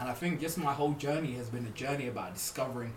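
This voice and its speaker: Very fast man's voice at medium pitch with ordinary pitch variation, audible room echo, and noticeable background noise. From Birmingham, England. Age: 30s. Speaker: podcast co-host. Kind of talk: casual chat.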